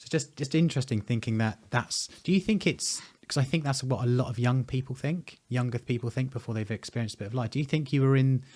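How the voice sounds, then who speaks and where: A man talks at a very fast pace with hardly any pauses. His voice is somewhat breathy. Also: medium pitch for a man, ordinary pitch variation. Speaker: presenter. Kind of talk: interview conversation.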